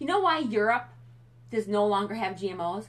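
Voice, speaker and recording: This woman has a medium pitch with vocal fry. Her pitch swings very widely. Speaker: fitness and nutrition coach. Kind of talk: live stream talk. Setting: Facebook live video. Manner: fast; animated.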